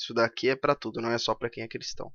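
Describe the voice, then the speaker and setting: This is a man speaking at a medium pitch. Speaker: economics YouTuber. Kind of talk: commented reading.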